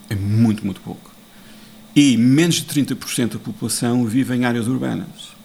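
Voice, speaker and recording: Speaking at a moderate pace, a man uses a medium pitch with ordinary variation. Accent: European Portuguese. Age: 50s. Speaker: international affairs analyst. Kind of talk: interview.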